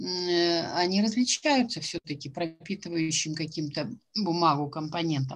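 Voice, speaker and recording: A woman speaks at a fairly low pitch, somewhat breathy. Her pace is fairly slow. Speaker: jury member at a student science fair. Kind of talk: questioning students after presentations. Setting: video call. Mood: calm, probing. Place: home room. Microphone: video call.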